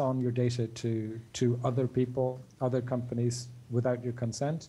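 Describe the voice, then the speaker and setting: At a very slow pace, the voice comes across somewhat breathy with a dark, mellow tone and monotone, flat intonation. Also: man. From Ireland. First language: English (speaking French). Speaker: digital rights advocate. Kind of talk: interview. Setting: remote video call. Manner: halting, many fillers.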